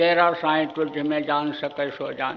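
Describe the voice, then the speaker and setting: A man speaks at a fairly high pitch with monotone, flat intonation. Audible room echo and noticeable background noise surround his voice. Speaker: spiritual guru. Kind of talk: sermon. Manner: stern, forceful; repetitive, emphatic.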